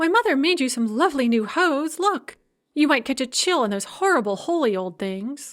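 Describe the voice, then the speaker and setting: With very wide pitch swings, this woman puts on a character voice, pitched high and delivered at a moderate pace. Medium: read story. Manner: pleading, then tart.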